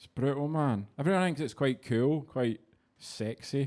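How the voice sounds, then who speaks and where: A man is speaking. He has a Scottish accent. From Scotland. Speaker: stand-up comedian. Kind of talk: casual, crude slang. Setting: stage. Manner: brash, profane, conversational storytelling.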